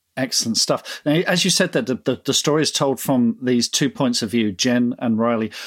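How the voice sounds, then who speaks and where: Dry and close with no echo, a man with a British accent talks at a fairly quick pace. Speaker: podcast host. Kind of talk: interview.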